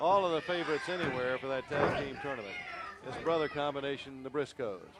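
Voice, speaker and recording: With noticeable background noise behind him, a man talks at a fairly quick pace and fairly high pitch, with ordinary pitch variation. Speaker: wrestling TV host. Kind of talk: play-by-play sports commentary.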